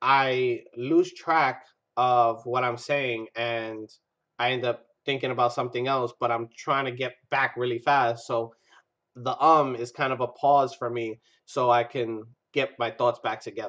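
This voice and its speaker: The man's voice sits at a medium pitch and stays flat and monotone. He talks at a fairly slow pace. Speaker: vaping reviewer, channel host. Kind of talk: casual product review vlog. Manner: filler-heavy, says um a lot; unscripted, loses track of thoughts.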